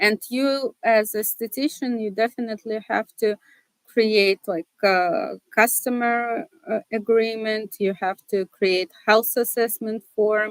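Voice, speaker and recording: Very slowly, a woman with a Russian accent speaks at a fairly high pitch with ordinary pitch variation, in a dry, close sound with no echo. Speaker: seminar presenter. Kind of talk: tutorial. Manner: hesitant, many fillers.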